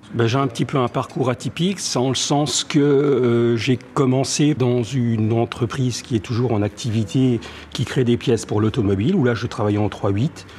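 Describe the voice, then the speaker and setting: A man talks at a moderate pace in a medium pitch with ordinary pitch variation, hardly any pauses and very even loudness. Noticeable background noise runs behind him. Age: 60s. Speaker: music shop owner. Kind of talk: interview. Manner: halting, many hesitations.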